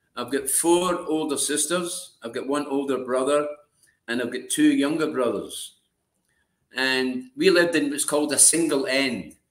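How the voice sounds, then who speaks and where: Using a fairly high pitch, a man speaks at a moderate pace with ordinary pitch variation. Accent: Glaswegian. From Scotland, Glasgow. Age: 70s. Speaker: former prisoner, ex-smuggler. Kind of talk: interview storytelling.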